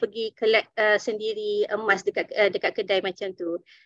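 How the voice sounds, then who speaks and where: This woman has a fairly high voice with ordinary pitch variation. The sound is dry and close, without echo. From Malaysia, Dungun, Terengganu. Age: 30s. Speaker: gold dealer sharing success story. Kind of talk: online presentation. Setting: Zoom webinar. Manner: halting with many fillers.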